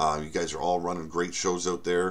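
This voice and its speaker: This is a man talking. His voice is very deep and low. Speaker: author and channel host. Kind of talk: casual vlog update. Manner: halting, many fillers and repeats.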